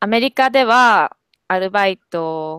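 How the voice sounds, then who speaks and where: A woman's lively intonation, dry with no echo, against a quiet background. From Kobe, Japan. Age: 20s. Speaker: university student with part-time job. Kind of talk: casual language-practice conversation. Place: home room. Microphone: earbuds.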